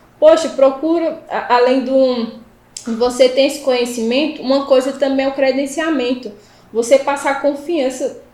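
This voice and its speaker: Fairly even intonation and a moderate pace from a woman speaking at a high pitch. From Pernambuco interior, Brazil. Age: 20s. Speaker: civil firefighter and first aid instructor. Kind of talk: casual interview chat.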